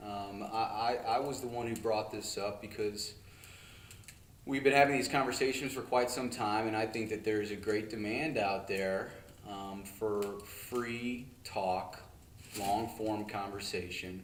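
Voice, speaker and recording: Here a man with fairly low pitch speaks at a fairly slow pace and with fairly even intonation. Audible room echo and noticeable background noise surround him. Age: 20s. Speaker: podcast co-host. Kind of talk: casual chat.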